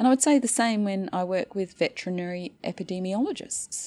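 A woman with an Australian accent, dark, mellow tone and lively intonation at a moderate pace, on a very clean recording with a silent background. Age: 50s. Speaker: anthropologist, associate professor. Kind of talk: interview conversation.

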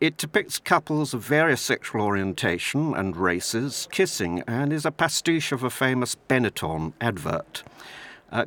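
A man talks at a moderate pace in an unremarkable speaking voice, medium in pitch, with a dry, close sound with no echo. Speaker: museum volunteer tour guide. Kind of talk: personal testimony.

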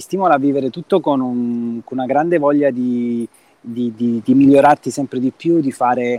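A man speaks at a medium pitch and a moderate pace, his intonation fairly even. The sound is dry and close, with no echo. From Calabria, Reggio Calabria. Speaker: film director. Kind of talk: casual interview. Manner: halting, with repeated words.

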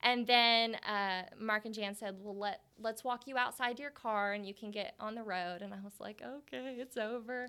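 With an American accent, a woman speaks at a moderate pace in a fairly high, bright, sharp tone on a very clean recording with a silent background. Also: ordinary pitch variation, big swings in loudness. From Oklahoma. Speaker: hair salon area coach. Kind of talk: interview.

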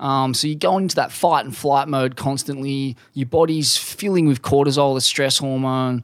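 A plain, everyday voice moves at a moderate pace with fairly even intonation. There are hardly any pauses. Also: man, fairly high pitch for a man. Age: 30s. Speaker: surf journalist. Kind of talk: casual interview.

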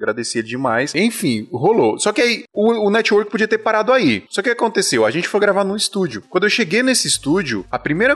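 Pitch swinging very widely, a man races along at a very fast speed. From Paraíba, Brazil. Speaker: podcast host on audiovisual production. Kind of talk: casual chat. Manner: animated.

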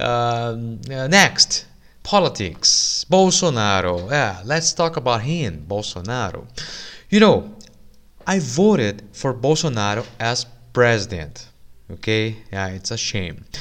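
A man talks at a very slow pace with a Brazilian accent. His medium-pitched voice moves in very wide pitch swings. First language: Portuguese. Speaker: English teacher and podcast host. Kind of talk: casual news commentary for learners. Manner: informal, frequent laughter and fillers.

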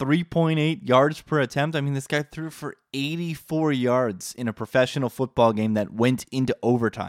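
A man speaks at a medium pitch and moderate pace in an animated tone, with ordinary pitch variation and hardly any pauses. The sound is dry and close with no echo, in a very clean recording over a silent background. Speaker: sports betting podcast host. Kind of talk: casual chat.

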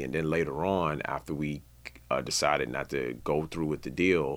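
Vocal fry and fairly even intonation from a man with an American accent. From Washington DC area (Maryland suburbs). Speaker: music industry executive. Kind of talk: interview. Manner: halting, many fillers; casual.

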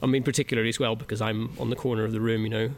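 A man with a Northern Irish accent talks at a medium pitch, with vocal fry. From Northern Ireland. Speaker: music producer. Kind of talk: interview. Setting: music venue. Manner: hesitant, many fillers.

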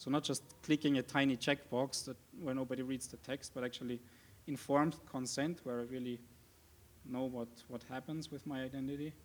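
A man at a medium pitch, monotone and flat, fairly quick yet broken by long, frequent pauses. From Austria, Vienna. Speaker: software developer. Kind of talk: conference talk. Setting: stage with audience.

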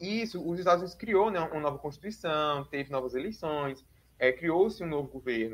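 This man has a normal speaking voice and lively intonation. He talks at a moderate pace. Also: fairly high pitch for a man. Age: 20s. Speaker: doctoral researcher in international politics and religion. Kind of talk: interview.

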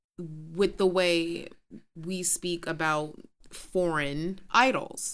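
The speech moves at a very slow pace. The pitch varies in an ordinary way. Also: woman, fairly low pitch for a woman. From New York City, Queens. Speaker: podcast co-host. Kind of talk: casual chat. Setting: studio.

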